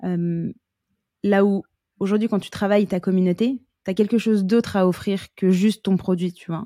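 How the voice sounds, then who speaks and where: A woman's dark, mellow voice at a medium pitch, monotone and flat, at a fairly quick pace, dry and close with no echo, in a very clean recording with a silent background. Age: 20s. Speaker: marketing agency co-founder. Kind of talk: casual chat.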